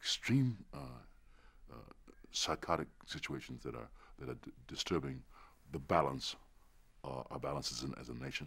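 A man speaks at a moderate pace with lively intonation. His voice carries vocal fry. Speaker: interviewee. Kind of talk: interview answer. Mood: earnest, reflective. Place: studio. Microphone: lapel.

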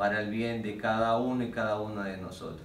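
A man's fairly low voice with audible room echo and light background noise. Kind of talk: interview answer. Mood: earnest, measured. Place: meeting room. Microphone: camera far.

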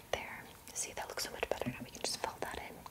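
A soft-spoken woman whispers at a very fast pace. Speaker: ASMR creator doing makeup roleplay. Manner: soft close-mic ASMR whisper. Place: home room. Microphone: studio mic.

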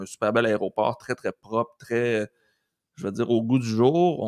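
A man speaks at a moderate pace in a Quebec accent. The sound is dry with no echo, and the background is quiet. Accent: Québécois French. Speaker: teacher and podcast co-host; teacher, podcast co-host. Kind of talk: casual chat. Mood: relaxed, enthusiastic storytelling. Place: home room. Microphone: studio mic.

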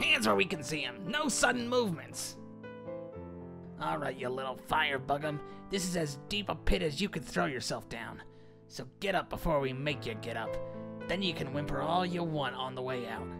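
Clear music plays in the background as a man speaks at a fairly high pitch. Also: moderate pace. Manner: harsh, commanding.

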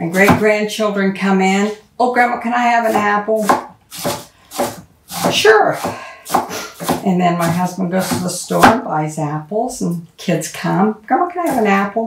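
Amid loud background noise, a woman talks at a moderate pace with long, frequent pauses. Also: ordinary pitch variation. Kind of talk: casual cooking tutorial. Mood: warm, chatty. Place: kitchen. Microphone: camera far.

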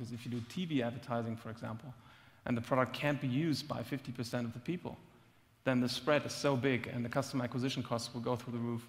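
Very fast speech from a man, somewhat breathy, the intonation fairly even. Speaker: startup executive. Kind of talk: panel discussion. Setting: stage with audience. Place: stage. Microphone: headset.

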